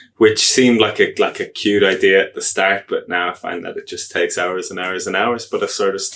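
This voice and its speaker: A man talks at a fairly quick pace. He has an Irish accent. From Ireland. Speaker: agile coach. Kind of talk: podcast interview. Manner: hesitant, many fillers.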